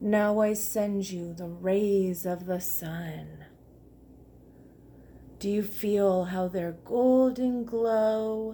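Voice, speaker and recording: A woman puts on a character voice at a medium pitch, speaking at a very slow pace with long, frequent pauses. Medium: read story. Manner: gentle, unhurried.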